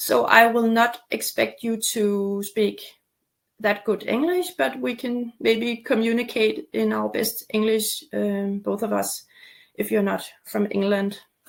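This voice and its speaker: A woman with a Danish accent speaks at a very slow pace. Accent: Danish-accented, non-native English. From Denmark, near Copenhagen. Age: 40s. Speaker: torticollis recovery coach. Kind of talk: webinar presentation with sales pitch. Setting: online webinar. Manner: halting, many fillers.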